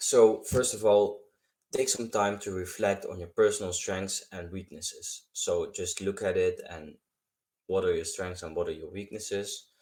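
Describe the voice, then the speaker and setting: Speaking with a non-native accent, a man's voice shows big swings in loudness. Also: moderate pace, very clean recording, silent background. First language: not English. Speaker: self-improvement YouTuber. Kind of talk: advice tutorial monologue. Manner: halting, repeats words.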